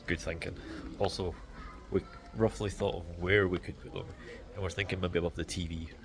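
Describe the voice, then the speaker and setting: With a Scottish accent, a man talks at a fairly quick pace in a very deep, low pitch, his intonation fairly even. His loudness swings widely, and he takes long, frequent pauses. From Scotland. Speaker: vlogger. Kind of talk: casual vlog chat. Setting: in a store.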